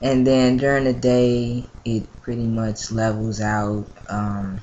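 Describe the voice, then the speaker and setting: Through noticeable background noise, a man speaks at a very slow pace and medium pitch in a monotone, flat intonation. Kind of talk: casual vlog update. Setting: at mother's house, home video. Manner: hesitant, many fillers.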